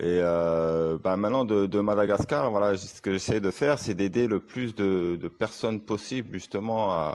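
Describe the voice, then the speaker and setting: Fairly low male speech at a fairly slow pace, with ordinary pitch variation against a quiet background. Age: 40s. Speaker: online sales closer and coach. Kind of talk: testimonial. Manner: halting, many fillers.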